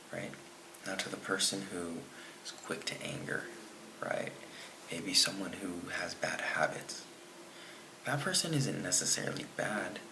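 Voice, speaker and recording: Whispering at a fairly slow pace with long, frequent pauses, amid audible room echo and noticeable background noise. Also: man. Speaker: fitness vlogger. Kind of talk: casual monologue to camera. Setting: talking to camera at home. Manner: quiet; slow, deliberate with repetitions.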